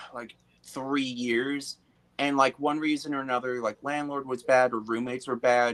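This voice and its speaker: This man speaks at a medium pitch and a moderate pace. His intonation is monotone and flat. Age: 20s. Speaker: guest. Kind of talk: casual chat.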